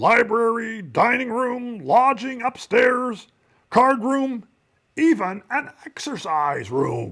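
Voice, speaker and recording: A man's put-on character voice at an extremely high pitch, with lively intonation and a very slow pace. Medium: read story.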